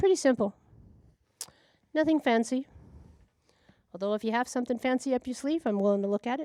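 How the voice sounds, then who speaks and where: Talking at a very fast pace with long, frequent pauses, a woman uses a high pitch, a dark, mellow tone and lively intonation, in a dry, close sound with no echo. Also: big swings in loudness. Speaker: community TV show host. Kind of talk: casual monologue to camera. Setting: TV studio. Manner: loud.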